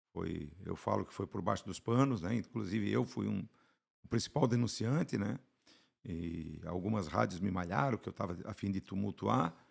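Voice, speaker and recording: On a very clean recording with a silent background, a man with very deep, low pitch and vocal fry speaks at a moderate pace with lively intonation. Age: 60s. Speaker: football fan. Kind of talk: casual chat. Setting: studio.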